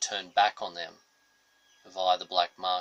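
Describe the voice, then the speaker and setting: Recorded with a dry, close sound and no echo, the speaker talks in an Australian accent. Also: man. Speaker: political commentator. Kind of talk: political monologue.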